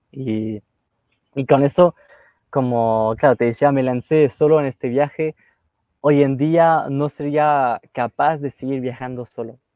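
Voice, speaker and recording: In a French accent, the speaker moves at a very slow pace with fairly even intonation. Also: man, fairly high pitch for a man. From northern France, near Lille. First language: French (speaking Spanish). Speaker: travel youtuber. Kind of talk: casual interview chat.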